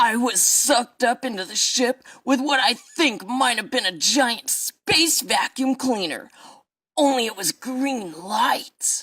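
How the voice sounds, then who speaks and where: Fairly high and fairly slow, in a put-on character voice. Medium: audio drama. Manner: rambling, earnest, aggrieved.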